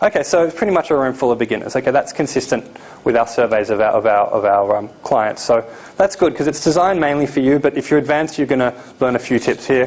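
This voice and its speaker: A man speaks very fast at a medium pitch, with lively intonation and very even loudness. Noticeable background noise is present. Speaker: seminar presenter on importing. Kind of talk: live seminar presentation. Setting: seminar room with live audience.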